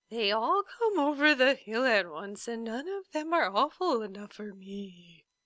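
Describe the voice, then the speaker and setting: A female-sounding voice puts on a character voice at a fairly high pitch, talking at a moderate pace with hardly any pauses. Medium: read story.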